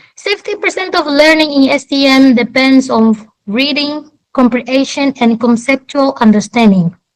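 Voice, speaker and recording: Woman's high-pitched voice with lively intonation at a moderate pace. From Angola. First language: Portuguese. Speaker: debate participant. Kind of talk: debate.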